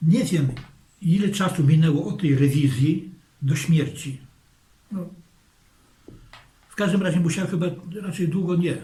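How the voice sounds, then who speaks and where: The speech moves at a moderate pace with ordinary pitch variation. Long, frequent pauses break it up against noticeable background noise. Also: man, high pitch for a man. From Zamość, Poland. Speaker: war witness. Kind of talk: interview answer.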